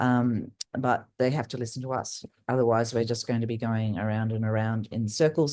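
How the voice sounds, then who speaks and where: Over a quiet background, a woman with an Australian accent speaks at a moderate pace in a very deep, low pitch, her tone dark and mellow and her intonation fairly even. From Australia, Northern Territory. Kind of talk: panel discussion. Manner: loud; halting, many fillers.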